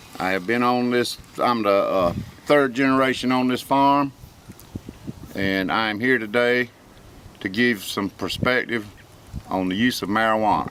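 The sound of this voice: Speaking at a fairly slow pace with long, frequent pauses, a man uses a fairly low pitch, a fairly bright tone and ordinary pitch variation.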